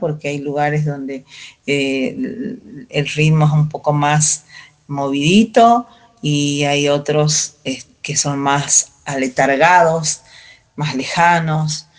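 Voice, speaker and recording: A woman's very deep, low voice, very slow, with ordinary pitch variation. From Salta, northern Argentina. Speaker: folk singer. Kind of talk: interview. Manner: halting, many fillers.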